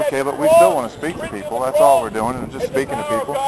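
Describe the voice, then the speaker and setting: Loud background noise behind a man's dry, echo-free voice. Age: 40s. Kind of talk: open-air street preacher arguing campus free-speech rights with a campus officer. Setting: outdoors on a college campus. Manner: earnest, polite but insistent, repeating 'sir' while pressing his constitutional case; halting, stammering repetitions. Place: open country. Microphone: phone near.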